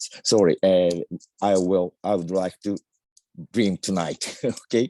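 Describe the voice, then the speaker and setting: A man speaks with a very deep, low pitch and a dark, mellow tone, in a non-native accent. His intonation is fairly even, his pace fairly slow, and the sound is dry and close with no echo. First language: not English. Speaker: discussion participant. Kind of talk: casual comment. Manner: halting.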